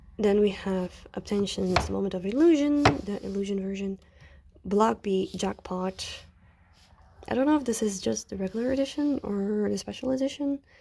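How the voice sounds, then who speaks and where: Lively intonation marks a woman's dark, mellow voice at a medium pitch. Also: moderate pace. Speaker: kpop album collector vlogger. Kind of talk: casual shelf tour vlog. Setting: at home, filming handheld. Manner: rambling, hesitant with fillers.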